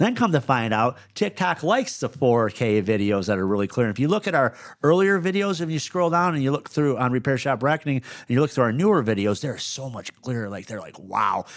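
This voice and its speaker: With a Michigan accent, a man of medium pitch talks at a fairly quick pace with very wide pitch swings. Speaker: podcast host and business owner. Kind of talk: casual chat. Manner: stutters and misspeaks at times; clips word endings.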